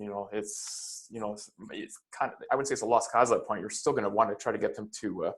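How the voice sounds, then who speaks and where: A man speaks with a Canadian accent at medium pitch. His intonation is fairly even. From Canada, Toronto area. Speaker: note investor. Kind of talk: interview. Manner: halting, many fillers.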